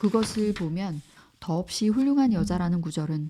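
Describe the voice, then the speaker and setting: A woman's somewhat breathy, medium-pitched voice has a dark, mellow tone and ordinary pitch variation. The recording is very clean, the background silent. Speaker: audiobook narrator. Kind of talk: audiobook reading of a classic novel. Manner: calm, soothing.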